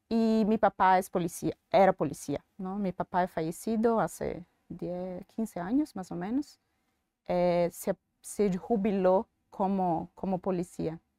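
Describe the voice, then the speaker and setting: A woman with a Brazilian accent, a medium pitch and a dark, mellow tone, at a very slow pace with ordinary pitch variation, in a dry, close sound with no echo. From Bahia, Brazil. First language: Portuguese (speaking Spanish). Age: 40s. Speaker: bank executive. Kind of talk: interview. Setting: in-person recording. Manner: hesitant.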